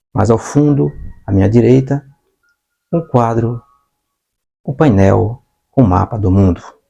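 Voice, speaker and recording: A somewhat breathy man of medium pitch, with a dark, mellow tone, speaks at a fairly slow pace with lively intonation and long, frequent pauses. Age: 60s. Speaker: online teacher. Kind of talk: lecture. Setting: home studio with whiteboard.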